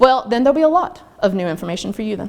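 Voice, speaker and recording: A woman speaks with a Southern US accent. Her fairly high voice has lively intonation. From US South, North Carolina. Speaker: online learning trainer. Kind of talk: workshop presentation. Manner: fast. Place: meeting room.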